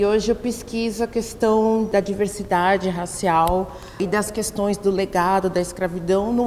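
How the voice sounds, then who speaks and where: Noticeable background noise sits behind a woman's fairly high voice. She speaks at a fairly slow pace with fairly even intonation. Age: 40s. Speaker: professor and researcher. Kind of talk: documentary interview. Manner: halting, self-correcting.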